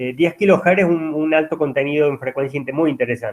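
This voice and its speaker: A man with a fairly high-pitched voice talks at a moderate pace with ordinary pitch variation. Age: 50s. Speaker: university lecturer. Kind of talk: lecture. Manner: halting, many fillers.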